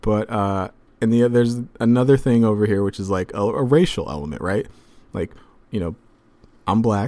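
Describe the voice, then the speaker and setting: A man with a dark, mellow tone speaks at a moderate pace with long, frequent pauses. The recording is very clean, with a silent background. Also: medium pitch for a man, ordinary pitch variation. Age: 30s. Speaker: basketball podcast host. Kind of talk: casual mailbag podcast. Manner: casual, filler-heavy.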